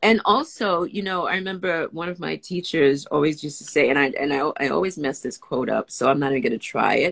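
A woman with an American accent and a very deep, low voice, fairly quick with hardly any pauses, lively in intonation, over a quiet background. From New York, the Bronx. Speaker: actor and writer; actor. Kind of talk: casual chat. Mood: warm, upbeat. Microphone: video call.

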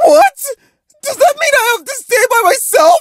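At a moderate pace, a put-on character voice with extremely high pitch comes across whiny, with a nervous, whiny tone. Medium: cartoon.

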